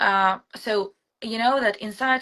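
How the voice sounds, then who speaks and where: On a very clean recording with a silent background, a woman speaks in a bright, sharp tone. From Ukraine. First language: Ukrainian. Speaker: mother telling her story. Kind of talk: testimony. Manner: halting.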